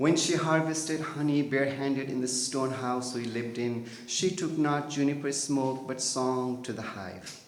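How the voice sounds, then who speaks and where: A moderate pace and ordinary pitch variation in a Nepali accent, with audible room echo and noticeable background noise. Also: man. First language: Tamang. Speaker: poet. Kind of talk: poetry reading.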